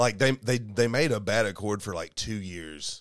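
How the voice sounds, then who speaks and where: This voice has a Southern US accent. It moves at a moderate pace with ordinary pitch variation. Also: man. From Kentucky. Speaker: podcast co-host. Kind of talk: casual chat. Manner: animated.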